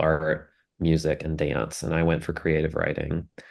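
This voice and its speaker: At a moderate pace, a man with a Southern US accent talks in a very deep, low voice against a quiet background. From US South, South Carolina. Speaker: documentary film producer. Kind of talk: interview.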